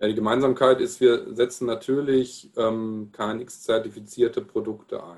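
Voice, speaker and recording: A man's normal speaking voice at medium pitch, with fairly even intonation, a fairly slow pace and hardly any pauses. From Palatinate, Germany. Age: 40s. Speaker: sales and marketing manager. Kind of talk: casual interview chat.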